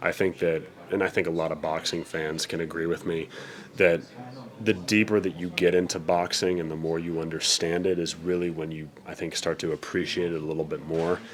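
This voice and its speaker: With an American accent, a man talks at a fairly quick pace in a very deep, low pitch and a monotone, flat intonation. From Denver, Colorado, USA. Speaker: professional ring announcer. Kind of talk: interview answer.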